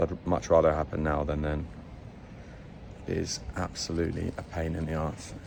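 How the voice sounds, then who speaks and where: With a British accent, a man speaks in a very deep, low voice at a moderate pace, his intonation flat and monotone, over noticeable background noise. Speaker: travel vlogger. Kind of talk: casual vlog talk to camera.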